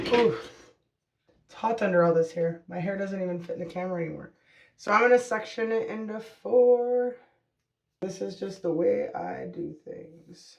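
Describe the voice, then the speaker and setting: Long, frequent pauses break up speech that otherwise runs at a moderate pace. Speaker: hair color vlogger. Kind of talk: casual vlog tutorial. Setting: at home at night. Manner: soft-spoken, quiet.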